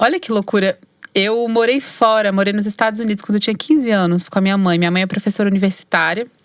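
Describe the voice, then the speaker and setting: Very fast talk from a woman at medium pitch, her pitch varying in an ordinary way. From Brazil, Belo Horizonte (Minas Gerais). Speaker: singer-songwriter and actress. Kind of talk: interview conversation. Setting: recording studio.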